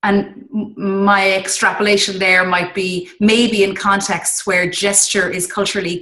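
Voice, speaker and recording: The speaker is a woman with a medium pitch and a bright, sharp tone. She talks at a fairly slow pace. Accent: Irish. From Ireland. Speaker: interviewer, English teacher trainer. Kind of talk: interview.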